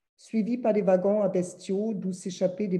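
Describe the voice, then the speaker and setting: Somewhat breathy and dark, mellow in tone, a woman speaks with a strong German accent and fairly even intonation. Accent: thick German. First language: German (speaking French). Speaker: publisher. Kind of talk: reading aloud.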